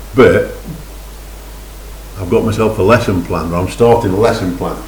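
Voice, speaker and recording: The speaker has an English accent and a moderate pace. Noticeable background noise and audible room echo are present. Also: man. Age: 60s. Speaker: amateur fiddle learner vlogger. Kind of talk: casual vlog talk. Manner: halting.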